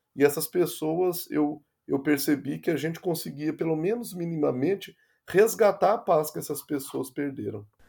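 The recording is very clean, with a silent background. A man speaks in a fairly high, dark and mellow voice with ordinary pitch variation. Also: moderate pace. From interior of Minas Gerais, Brazil. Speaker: nurse. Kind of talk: interview.

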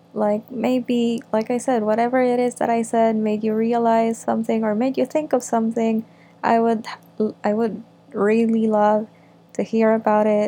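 In a fairly high pitch, a woman speaks with a dark, mellow tone and monotone, flat intonation. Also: very even loudness. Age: 20s. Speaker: podcaster. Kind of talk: casual solo ramble, intro monologue. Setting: home recording, solo. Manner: halting, mumbling at times; reflective, informal.

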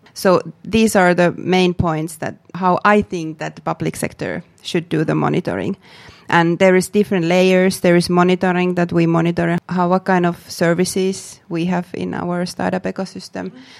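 Spoken in a Finnish accent at a moderate pace, with flat, monotone intonation. The sound is dry and close, with no echo. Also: woman, fairly low pitch for a woman. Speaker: public sector startup official, author. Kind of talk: interview. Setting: studio. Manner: halting.

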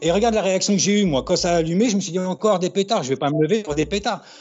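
A man's high-pitched voice at a very fast pace, with ordinary pitch variation and noticeable background noise. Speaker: graffiti writer. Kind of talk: interview. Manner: halting.

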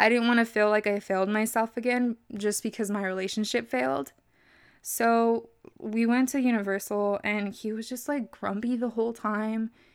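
Fairly high-pitched woman's speech at a moderate pace, with ordinary pitch variation, in a very clean recording with a silent background. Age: 20s. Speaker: podcast host. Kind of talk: casual monologue. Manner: animated. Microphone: new microphone.

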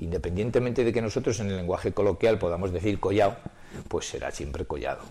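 A man speaks in a dark, mellow tone. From Spain, Soria. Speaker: collector and retired teacher. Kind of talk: interview.

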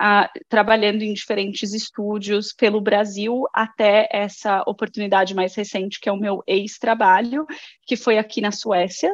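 A woman speaks at a fairly slow pace and medium pitch with fairly even intonation. The sound is dry and close with no echo, over a quiet background. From Brazil, Guarulhos (São Paulo). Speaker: game producer. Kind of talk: casual interview.

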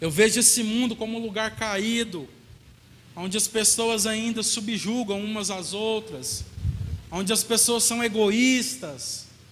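A man with a high-pitched voice talks at a fairly slow pace, his pitch varying in an ordinary way, and audible room echo surrounds him. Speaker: pastor. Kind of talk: sermon.

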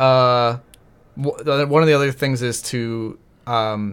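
Using a normal speaking voice, a man with an American accent talks at a medium pitch with fairly even intonation. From New Hampshire, US. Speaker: filling-in co-host, coworker of host. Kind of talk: casual chat.

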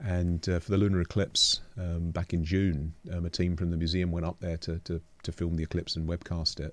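A man with a London accent speaks at a very deep, low pitch in a monotone, flat intonation. His moderate pace has hardly any pauses, on a very clean recording with a silent background. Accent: southern English (London). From London, England. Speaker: astronomer and museum director. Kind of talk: interview conversation.

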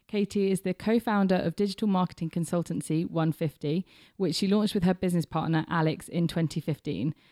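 A woman speaks fairly quickly at a fairly low pitch in a dark, mellow tone, with very even loudness, fairly even intonation and a dry, close sound with no echo. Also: very clean recording, silent background. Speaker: podcast host and intern. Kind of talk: scripted introduction; interview.

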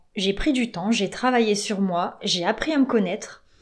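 Using a plain, everyday voice, a woman talks at a fairly slow pace with lively intonation. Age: 30s. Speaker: relationship coach. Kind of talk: podcast monologue.

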